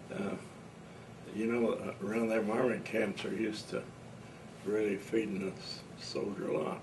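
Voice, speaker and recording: A man with an American accent speaks at a moderate pace and a fairly low pitch, with ordinary pitch variation, long and frequent pauses, noticeable background noise, and audible room echo. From Brown County, Indiana. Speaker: war veteran. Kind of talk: oral history interview. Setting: at home.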